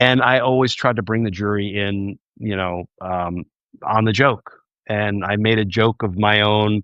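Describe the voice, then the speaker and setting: A fairly low-pitched male voice with a New Jersey accent and fairly even intonation. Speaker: former trial prosecutor turned political commentator. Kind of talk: livestream commentary. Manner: conversational.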